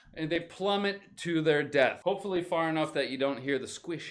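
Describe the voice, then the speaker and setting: Recorded very cleanly over a silent background, a man with a fairly high pitch sounds animated, using very wide pitch swings and some vocal fry. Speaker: English teacher. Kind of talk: live stream vocabulary lesson. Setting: live stream.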